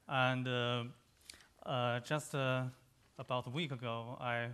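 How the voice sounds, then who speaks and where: With a Chinese accent, a man talks in a bright, sharp tone at a medium pitch. His intonation is monotone and flat against a quiet background. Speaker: economist. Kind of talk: conference panel talk. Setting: conference session with microphone. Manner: halting, many hesitations.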